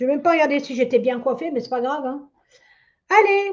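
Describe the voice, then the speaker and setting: Her intonation is lively as this woman speaks in a high pitch. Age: 60s. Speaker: psychic medium. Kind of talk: live stream psychic reading. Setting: live stream. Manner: casual, hesitant with many fillers.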